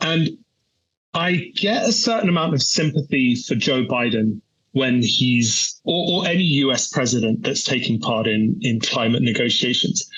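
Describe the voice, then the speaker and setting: A man with a British accent and a fairly high voice speaks at a moderate pace with lively intonation. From UK. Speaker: energy research analyst. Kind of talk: interview. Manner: halting.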